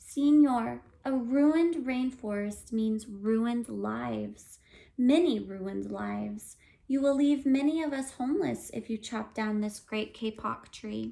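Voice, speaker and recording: A squeaky, put-on character voice moves along at a fairly slow pace. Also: woman, fairly high pitch for a woman. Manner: pleading.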